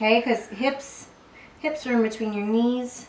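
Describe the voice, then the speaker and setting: With an American accent, a woman speaks at a fairly high pitch and fairly slow pace, with audible room echo and light background noise. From US South, South Carolina. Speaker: fitness instructor. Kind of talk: tutorial. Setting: at home, family room. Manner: casual, chatty. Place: home room. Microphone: camera far.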